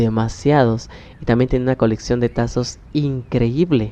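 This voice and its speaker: A man speaks in a Mexican accent with a dark, mellow tone at medium pitch. His pace is moderate and his pitch varies in an ordinary way. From Mexico, Oaxaca. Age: 20s. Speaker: podcaster. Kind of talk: personal storytelling. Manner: halting.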